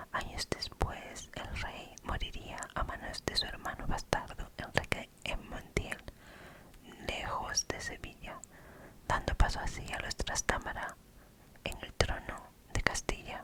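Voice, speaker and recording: Whispering from a woman, very slow in pace, over noticeable background noise. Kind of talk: whispered ASMR storytelling of a legend. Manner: whispered, soft.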